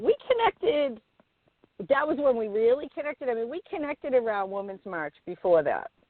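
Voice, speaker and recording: A woman with an American accent talks at a moderate pace in a high voice, her pitch swinging very widely and her loudness rising and falling a lot. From Boston, New England. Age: middle-aged. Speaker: author, healer and therapist. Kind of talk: casual interview chat.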